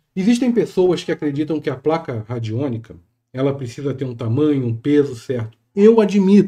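A man with a Brazilian accent speaks at a fairly high pitch, somewhat breathy and with a dark, mellow tone, using lively intonation against a quiet background. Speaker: spiritual teacher and YouTuber; spiritual teacher, YouTuber. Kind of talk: tutorial. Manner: casual, hesitant. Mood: calm, explanatory.

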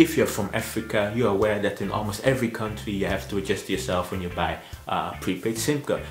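Light background noise and audible room echo surround a man speaking at a fairly quick pace. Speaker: travel vlogger. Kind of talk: informational vlog talk. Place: home room.

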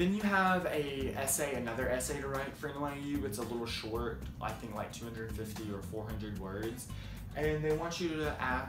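A man delivers his words at a fairly slow pace while clear music in the background plays. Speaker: student vlogger. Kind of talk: casual vlog chat. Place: home room. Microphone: phone near.

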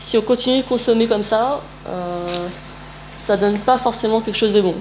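Speaking at a fairly slow pace with ordinary pitch variation, a woman is heard over light background noise. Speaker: presenter. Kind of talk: presentation talk. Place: meeting room. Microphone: camera far.

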